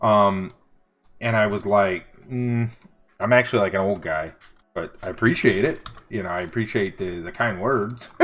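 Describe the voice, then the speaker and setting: A man at a fairly low pitch, relaxed in tone, at a moderate pace with long, frequent pauses and ordinary pitch variation. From US Northeast, Buffalo New York; New York. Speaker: livestreaming artist and tutor; tutor. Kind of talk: casual livestream chat. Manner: relaxed, chatty.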